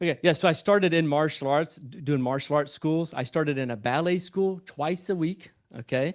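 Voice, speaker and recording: Against a quiet background, a man with a Southern US accent and a fairly high voice talks in an animated tone at a fairly quick pace, with ordinary pitch variation and hardly any pauses. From US South, Albany, Georgia. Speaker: entrepreneur and speaker. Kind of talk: motivational talk to live audience. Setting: stage with audience. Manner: stammering restarts.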